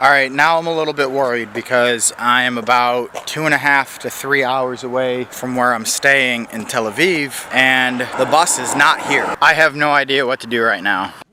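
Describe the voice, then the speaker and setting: With an American accent and a medium pitch, a man talks at a moderate pace with fairly even intonation and hardly any pauses over noticeable background noise. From United States. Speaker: travel vlogger. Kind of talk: travel vlog narration. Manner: casual, swearing-laden.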